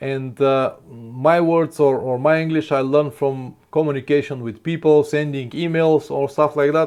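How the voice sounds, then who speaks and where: A man with a non-native accent and a fairly high pitch, fairly even intonation, a fairly slow pace and hardly any pauses. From Bulgaria. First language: Bulgarian. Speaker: motorcycle travel vlogger. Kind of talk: live stream Q&A. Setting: live stream. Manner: halting.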